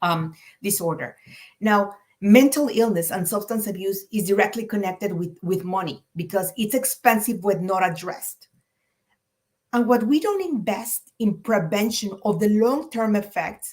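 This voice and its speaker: A woman with a Spanish accent speaks at a medium pitch and moderate pace, somewhat breathy, with ordinary pitch variation. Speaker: clinician. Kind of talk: presentation.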